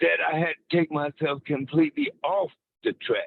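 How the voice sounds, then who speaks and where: A man's voice with ordinary pitch variation. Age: 60s. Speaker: caller, former prisoner. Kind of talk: testimony. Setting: phone call from a car.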